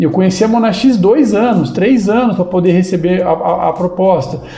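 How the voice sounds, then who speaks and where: A man's high-pitched, animated voice amid noticeable background noise and audible room echo. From interior of São Paulo state, Brazil. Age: 50s. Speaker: startup founder. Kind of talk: podcast interview. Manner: casual, animated.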